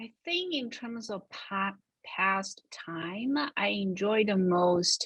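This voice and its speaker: A woman speaks with a Chinese accent at a medium pitch. Her intonation is lively. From China, Shanghai. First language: Shanghainese and Mandarin Chinese. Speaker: creative director at a financial firm. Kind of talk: interview.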